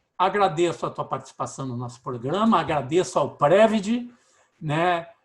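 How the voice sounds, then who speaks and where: On a very clean recording with a silent background, a man with a high pitch speaks at a moderate pace, his intonation lively and his loudness swinging widely. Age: 60s. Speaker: radio host. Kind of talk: casual interview.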